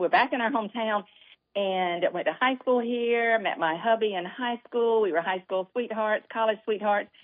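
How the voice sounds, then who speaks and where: This woman has a Southern accent. She talks at a moderate pace with ordinary pitch variation. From US South, Statesboro, Georgia. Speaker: author. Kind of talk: casual chat. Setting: studio.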